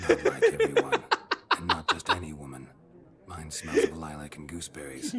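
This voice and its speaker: Doing a put-on character voice, a man talks at a very deep, low pitch and a fairly quick pace, with long, frequent pauses. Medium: video game. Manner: terse, dry, flat.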